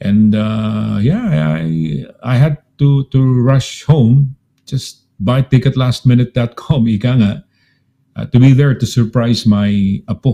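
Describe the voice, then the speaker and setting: At a very slow pace, a man speaks at medium pitch with a dark, mellow tone, ordinary pitch variation, and a dry, close sound with no echo. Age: 60s. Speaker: radio host. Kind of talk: casual chat.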